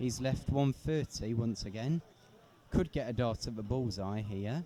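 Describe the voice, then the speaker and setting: Speaking at a fairly slow pace, a man uses a dark, mellow tone at a medium pitch with ordinary pitch variation. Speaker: darts commentator. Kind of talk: live commentary. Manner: loud.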